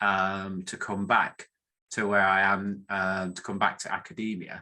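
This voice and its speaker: A man with a northern English accent speaks fairly slowly in a fairly low pitch. His tone is bright and sharp, his intonation monotone and flat, and the background is quiet. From northern England. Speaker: academic statistician, professor. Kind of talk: presentation talk. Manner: hesitant with many fillers.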